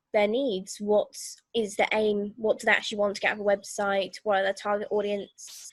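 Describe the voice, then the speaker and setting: Her pitch fairly high, a woman talks at a moderate pace with monotone, flat intonation. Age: 20s. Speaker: digital agency owner. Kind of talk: interview answer.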